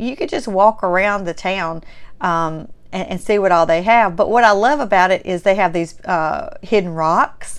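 A woman speaks with a strong Southern US accent and lively intonation. Her pace is moderate against a quiet background. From Mississippi, US South. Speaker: podcast and vlog host. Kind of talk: casual solo podcast monologue. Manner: warm, chatty, enthusiastic.

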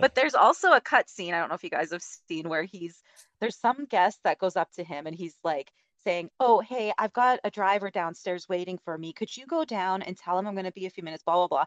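A woman with an unremarkable speaking voice at medium pitch, lively intonation at a fairly quick pace, and big swings in loudness, in dry, close sound with no echo. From Alberta, Canada. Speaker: podcaster. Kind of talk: casual chat.

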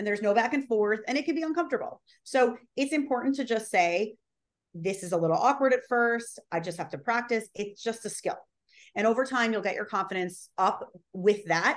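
Against a quiet background, a woman talks at a fairly quick pace in a fairly high voice with lively intonation. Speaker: social video strategist and on-camera coach. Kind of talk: casual interview chat about video tips. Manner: fast talker, high energy.

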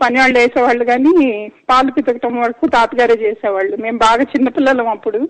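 Ordinary pitch variation in a woman's high voice. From Chennai, India (Telugu family). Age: 50s. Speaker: caller, granddaughter of a late actor. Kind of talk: phone-in call.

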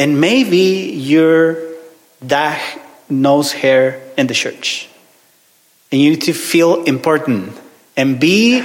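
With a Mexican accent, a man speaks at a very slow pace in a fairly high voice, using ordinary pitch variation and long, frequent pauses. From Mexico; Ciudad Juarez, northern Mexico. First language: Spanish. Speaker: visiting minister, preacher. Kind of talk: sermon. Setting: church with congregation. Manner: halting, hesitant, repeats words; friendly, joking.

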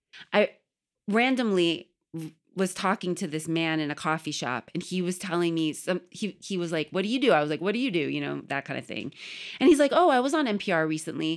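On a very clean recording with a silent background, a woman talks at a fairly quick pace. Her fairly low pitch carries lively intonation. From US, Iranian and Puerto Rican family. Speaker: journalist and radio correspondent. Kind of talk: casual interview chat.

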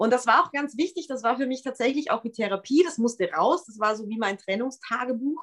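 A high-pitched woman speaks in an animated tone with lively intonation and big swings in loudness. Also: fairly quick pace, hardly any pauses. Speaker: pop singer and songwriter. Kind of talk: casual interview.

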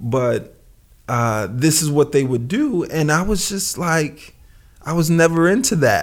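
Speaking fairly slowly with lively intonation, a man with a New York accent has a fairly high pitch. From Brooklyn, New York. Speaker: clothing designer. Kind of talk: casual chat. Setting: remote call.

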